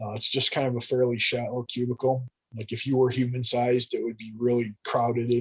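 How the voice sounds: Someone reads in a natural reading voice while the background stays quiet.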